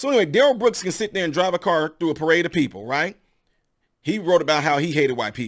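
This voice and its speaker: A man's fairly high voice at a very fast pace, on a very clean recording with a silent background. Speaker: online political commentator. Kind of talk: opinion monologue vlog. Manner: fast-talking; stumbling, restarts words.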